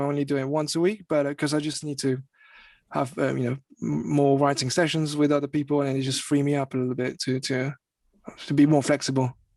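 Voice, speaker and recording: A man with a French accent, a fairly high pitch, and monotone, flat intonation, talking at a fairly quick pace against a quiet background. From France. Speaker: music artist and singer. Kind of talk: interview. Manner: halting, many fillers and repetitions.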